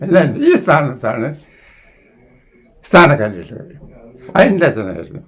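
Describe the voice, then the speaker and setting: Noticeable background noise sits behind a man's voice. His fairly high pitch swings very widely. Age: 80s+. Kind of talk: interview answer, oral history reminiscence.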